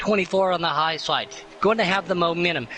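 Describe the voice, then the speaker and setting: An excited tone over noticeable background noise. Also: man. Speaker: sim racing commentator. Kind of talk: live commentary. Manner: excited, fast.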